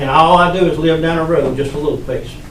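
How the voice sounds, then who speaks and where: The speaker has a Southern US accent. Noticeable background noise and audible room echo surround the voice. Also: man. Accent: Southern US (Georgia). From US South, Georgia (Upson County). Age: 60s. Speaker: resident speaking at public meeting. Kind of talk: public comment. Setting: county commission meeting.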